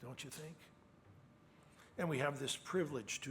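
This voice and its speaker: Somewhat breathy, a man speaks with ordinary pitch variation in a room with audible echo. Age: 70s. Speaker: preacher. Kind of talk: sermon.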